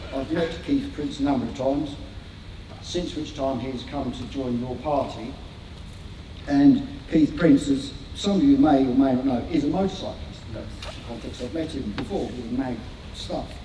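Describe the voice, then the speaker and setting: Over noticeable background noise and audible room echo, a man with a fairly high pitch talks at a moderate pace, with ordinary pitch variation and big swings in loudness. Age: 60s. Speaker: motorcyclist advocate and cafe owner. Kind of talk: public speech. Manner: halting.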